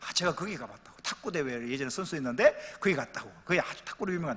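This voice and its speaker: A raised, projected voice with a bright, sharp tone, an animated delivery, very wide pitch swings and a very fast pace. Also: man. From Pohang, Gyeongsang region, South Korea. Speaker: pastor. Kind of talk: church announcement and anecdote. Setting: church.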